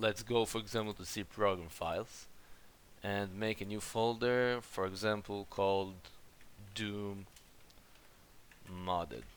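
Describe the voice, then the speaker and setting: A man with a non-native accent and a fairly low pitch uses fairly even intonation and long, frequent pauses. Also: fairly slow pace. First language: not English. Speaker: gaming YouTuber. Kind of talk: game settings tutorial voice-over.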